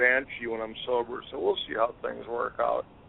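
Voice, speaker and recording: Noticeable background noise sits behind the recording. A man speaks over it at a moderate pace. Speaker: fantasy football podcast co-host. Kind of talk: casual chat.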